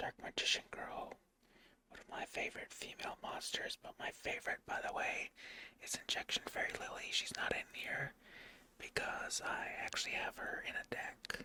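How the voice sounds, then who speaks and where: A man whispers at a moderate pace. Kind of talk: casual ASMR talk to camera about a card collection. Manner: soft-spoken, whispered.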